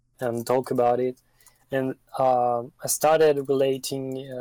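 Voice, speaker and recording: With a French accent, a man speaks at a medium pitch in a dark, mellow tone, recorded with a dry, close sound and no echo. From France. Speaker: streetwear news page runner. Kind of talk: interview answers. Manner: halting, many fillers.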